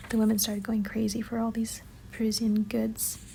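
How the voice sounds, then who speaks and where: The voice is soft-spoken and moves at a moderate pace. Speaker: book annotation vlogger. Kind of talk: soft-spoken ASMR-style voiceover. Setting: home, city noise in background.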